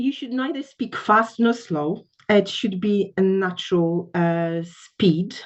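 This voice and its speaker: A woman with a Polish accent speaks at a very slow pace with hardly any pauses, her medium pitch carrying lively intonation. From Poland. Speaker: English test trainer. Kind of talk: panel discussion. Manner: hesitant, many fillers.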